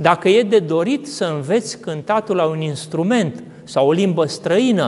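A man speaks at a fairly slow pace in a high pitch. His intonation is lively. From Romania. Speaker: Orthodox priest. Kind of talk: sermon. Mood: calm, reflective. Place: church.

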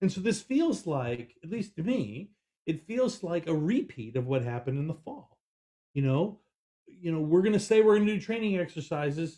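A man with an American accent speaks at a moderate pace in a high pitch with very wide pitch swings. His tone is dark and mellow, and the background is quiet. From California. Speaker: producer and co-host; co-host. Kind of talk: casual political talk show. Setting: studio, in person. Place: home room. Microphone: video call.

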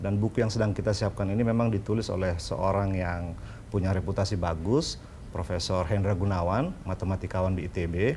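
With a Sulawesi accent, a man speaks at a fairly quick pace in a very deep, low, somewhat breathy voice with a dark, mellow tone, fairly even intonation and very even loudness over light background noise. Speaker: literacy activist and essayist; talk show guest. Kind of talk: TV talk show interview; interview answer. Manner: halting, frequent fillers. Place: studio. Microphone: lapel.

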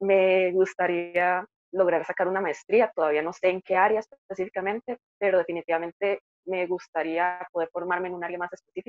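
Speaking fairly quickly, the woman keeps her intonation monotone and flat. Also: medium pitch for a woman. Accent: Costa Rican. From Costa Rica, Heredia. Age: 20s. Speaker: engineering student. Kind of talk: interview testimony.

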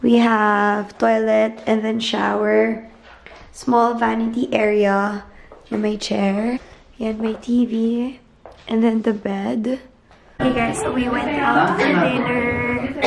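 With music playing in the background, a woman speaks at a very slow pace with fairly even intonation. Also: fairly high pitch for a woman. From Philippines. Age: 20s. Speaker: vlogger. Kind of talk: casual travel vlog talk to camera. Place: home room. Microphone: phone near.

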